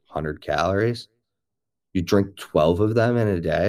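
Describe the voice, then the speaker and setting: A man with an American accent speaks in a normal speaking voice, fairly low in pitch with ordinary pitch variation, on a very clean recording with a silent background. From Chicago suburbs, US Midwest. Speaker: health science explainer. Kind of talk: casual chat. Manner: fast, rambling with many fillers.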